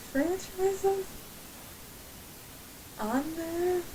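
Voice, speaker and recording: A woman with an American accent speaks while noticeable noise runs in the background. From Ohio, USA. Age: 20s. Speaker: aspiring voice actor and video maker. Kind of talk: casual talk to camera.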